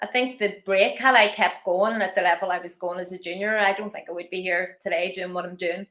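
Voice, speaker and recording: Big swings in loudness, a fairly quick pace and hardly any pauses, with a Northern Irish accent. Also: woman, medium pitch for a woman. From Northern Ireland, Belfast. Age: 50s. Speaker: masters athlete and personal trainer. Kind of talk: interview.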